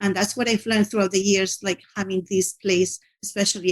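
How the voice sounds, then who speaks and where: A woman with a non-native accent, medium pitch and fairly even intonation. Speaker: teacher. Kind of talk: interview. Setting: podcast. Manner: halting, many fillers and restarts.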